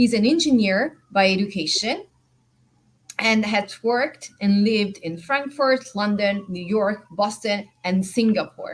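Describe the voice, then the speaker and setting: A woman's somewhat breathy voice at medium pitch, with ordinary pitch variation and a fairly slow pace. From Italy. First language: Italian. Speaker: panel moderator. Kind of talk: panel moderation. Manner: enthusiastic.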